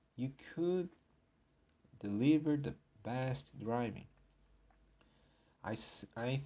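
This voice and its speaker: With a non-native accent, a man speaks at a very slow pace in a medium pitch. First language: not English. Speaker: podcast host. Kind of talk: solo podcast talk. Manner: halting.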